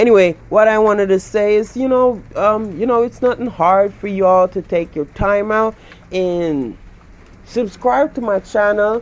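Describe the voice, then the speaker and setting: A man with a Central American accent speaks at a fairly slow pace. His pitch is high, with ordinary variation. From Belize. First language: Garifuna. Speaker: YouTuber. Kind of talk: casual chat.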